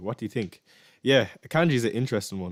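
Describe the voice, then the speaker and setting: Someone with an Irish accent races along at a very fast pace on a very clean recording with a silent background and a dry, close sound with no echo. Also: man. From Ireland. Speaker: fantasy football streamer. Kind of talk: live stream Q&A. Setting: live stream.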